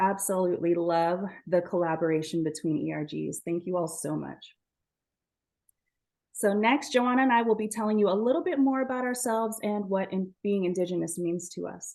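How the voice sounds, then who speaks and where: A woman speaks in an ordinary speaking voice with an American accent at a fairly quick pace. Her pitch is medium, with ordinary pitch variation. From US Southwest, Navajo Nation (Shiprock, New Mexico). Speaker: event moderator. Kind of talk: webinar presentation.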